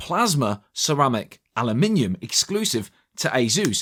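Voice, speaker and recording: A man speaks in an enthusiastic tone with vocal fry and very wide pitch swings. The recording is very clean with a silent background and a dry, close sound with no echo. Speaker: tech reviewer. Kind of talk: product review. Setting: studio.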